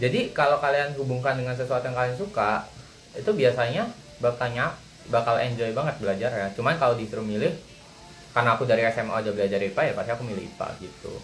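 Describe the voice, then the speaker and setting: Over noticeable background noise, a man with a Javanese accent talks at a very fast pace and medium pitch with ordinary pitch variation. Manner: blunt, sounds angry.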